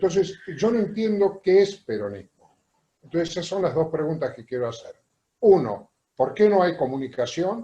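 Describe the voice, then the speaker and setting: Very wide pitch swings at a moderate pace. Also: man. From Argentina. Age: 70s. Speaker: audience member asking questions. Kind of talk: question in a panel discussion.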